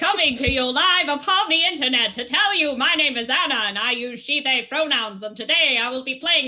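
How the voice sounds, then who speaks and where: A woman puts on a character voice in a transatlantic accent, her pitch swinging very widely. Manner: theatrical, dramatic.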